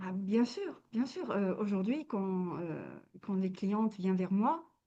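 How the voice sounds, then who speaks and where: A woman speaks at a very slow pace with a dark, mellow tone. Her pitch is medium, with ordinary variation. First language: not French (speaking French). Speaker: wellness coach. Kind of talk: interview. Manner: halting, many hesitations.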